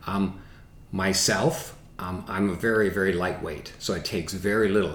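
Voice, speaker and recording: A man with a fairly low pitch and a plain, everyday voice. He speaks at a moderate pace. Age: 60s. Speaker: sexologist. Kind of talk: interview.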